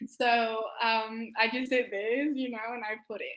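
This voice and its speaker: A woman speaks with a Spanish accent at a fairly slow pace. Her intonation stays monotone and flat. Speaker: medical student, science social media creator. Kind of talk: interview. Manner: halting.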